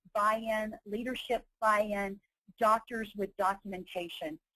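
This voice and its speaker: The voice has an American accent. The sound is dry and close, with no echo. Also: woman. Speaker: nurse and healthcare consultant, webinar presenter. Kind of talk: webinar presentation. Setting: online webinar. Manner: fast.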